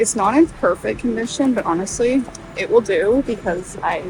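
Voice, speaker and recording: A woman speaks quietly with lively intonation. Music plays behind her. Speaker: book vlogger. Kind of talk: casual vlog. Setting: thrift store.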